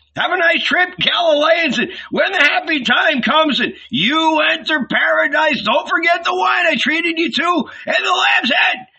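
A man shouts in a put-on character voice, extremely high-pitched and bright, sharp in tone. He goes fairly slowly with few pauses and ordinary pitch variation.

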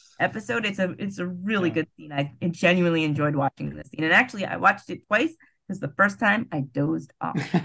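A woman's fairly low-pitched voice with a bright, sharp tone, vocal fry, lively intonation and a very fast pace. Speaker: podcast host. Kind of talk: casual chat.

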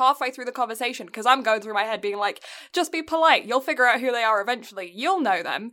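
With an English accent, a woman speaks at a high pitch in a bright, sharp tone with lively intonation. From England. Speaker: anime podcast co-host. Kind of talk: casual chat; plot recap. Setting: home, remote recording.

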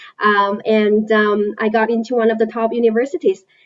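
Speaking at a moderate pace, a woman with a Chinese accent has a fairly high pitch. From China. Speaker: investment analyst. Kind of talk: interview.

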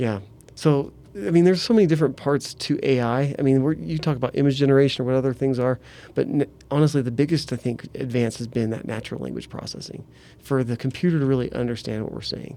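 A man's dark, mellow voice at a very fast pace, with ordinary pitch variation. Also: medium pitch for a man. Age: 40s. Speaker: university learning technology director and mountain bike coach. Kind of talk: casual chat.

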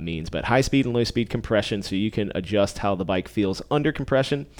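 In an ordinary speaking voice, a man with fairly low pitch uses lively intonation on a very clean recording with a silent background. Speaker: cycling podcast host and bike service technician. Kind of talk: casual chat. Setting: bike shop, recording in studio.

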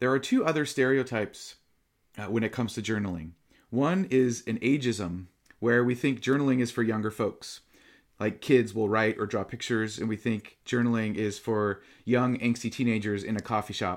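A man's normal speaking voice, medium in pitch, at a moderate pace. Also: ordinary pitch variation, very clean recording, silent background. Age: 40s. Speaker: meditation teacher. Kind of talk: dharma talk.

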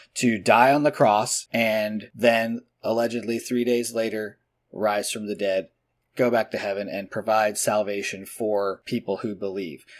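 In a very clean recording with a silent background, a man uses a normal speaking voice at a medium pitch, fairly slow, with fairly even intonation. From New Jersey, US. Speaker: podcast co-host. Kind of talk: casual conversational podcast discussion.

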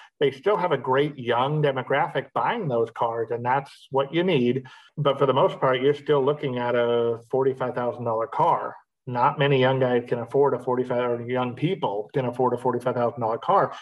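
A man with an American accent talks at a fairly slow pace, medium in pitch with ordinary pitch variation. He has an unremarkable speaking voice. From Los Angeles, California. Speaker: magazine founder and publisher. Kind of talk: interview.

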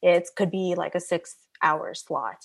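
The speaker is a woman. The background is quiet. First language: not English. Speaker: hair colorist and salon owner. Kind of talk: interview. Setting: remote call. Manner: halting.

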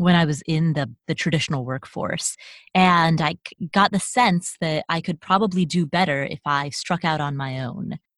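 A woman uses an ordinary speaking voice with a fairly low pitch and lively intonation. The sound is dry and close with no echo, and her pace is moderate. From US, child of Nepali immigrants. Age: 30s. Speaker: real estate investor and writer. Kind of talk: interview.

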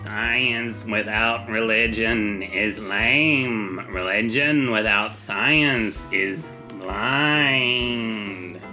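A man's put-on character voice at a medium pitch, very slow, with clear music in the background. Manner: imitation of a movie alien, croaky.

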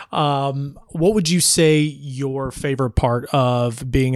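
A man's medium-pitched, ordinary speaking voice at a fairly slow pace with fairly even intonation; an ordinary speaking voice. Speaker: podcast host. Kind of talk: casual interview chat.

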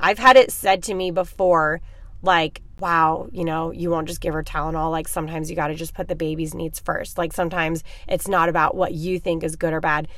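The tone is animated. The pace is fairly quick. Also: woman, fairly low pitch for a woman. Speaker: podcast host. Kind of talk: casual monologue. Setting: in a parked car.

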